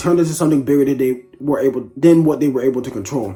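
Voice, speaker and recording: The voice is quiet, with a dark, mellow tone. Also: man. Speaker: book reviewer. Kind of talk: casual book review monologue. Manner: hesitant, many fillers.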